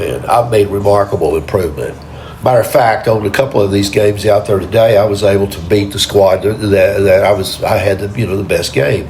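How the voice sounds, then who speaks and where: A man with an American accent, fairly low pitch and ordinary pitch variation, speaking at a fairly quick pace over noticeable background noise. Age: 70s. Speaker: amateur bowler vlogger. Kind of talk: casual vlog commentary. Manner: halting, many repetitions.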